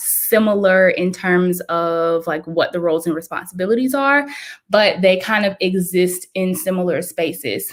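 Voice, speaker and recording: On a very clean recording with a silent background, a woman speaks at medium pitch with ordinary pitch variation. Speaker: pharmacist and health writing coach. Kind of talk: live video presentation. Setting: livestream. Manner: fast.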